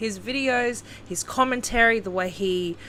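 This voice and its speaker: Someone speaks at a fairly slow pace with an Australian accent. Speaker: YouTube commentator. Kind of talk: casual commentary vlog.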